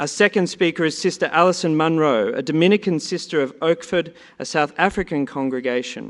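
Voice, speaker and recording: A man speaks with an Australian accent. His pitch is fairly high. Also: ordinary pitch variation, fairly quick pace. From Australia, Sydney. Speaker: conference panel moderator. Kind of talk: panel introductions. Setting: conference hall with audience.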